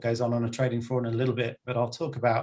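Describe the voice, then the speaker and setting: Speaking at a very fast pace, a man with an English accent sounds somewhat breathy, his intonation monotone and flat. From England. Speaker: banker and panel speaker. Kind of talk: webinar panel talk. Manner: hesitant, many fillers.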